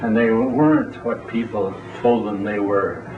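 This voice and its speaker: Man with a medium pitch, fairly even intonation and a moderate pace, plus audible room echo and noticeable background noise. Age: 80s+. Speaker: AA speaker. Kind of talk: recovery talk to a meeting. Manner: plain-spoken.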